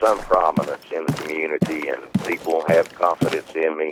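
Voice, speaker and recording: A man with a Southern Appalachian accent, at a moderate pace. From Southern Appalachians, US. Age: 50s. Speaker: eyewitness recounting a creature encounter. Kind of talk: interview.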